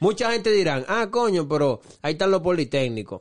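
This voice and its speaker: A man speaking at a fairly quick pace against a quiet background. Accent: Dominican. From Dominican Republic (Santo Domingo). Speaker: podcast co-host. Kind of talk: casual chat.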